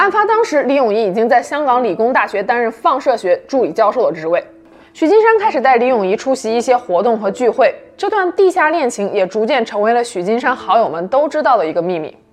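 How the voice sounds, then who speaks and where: A woman talks at a fairly quick pace and a high pitch with very wide pitch swings, and there is noticeable background noise. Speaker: true-crime podcast narrator. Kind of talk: true-crime narration, scripted storytelling. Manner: measured, even and serious, steady suspenseful storytelling.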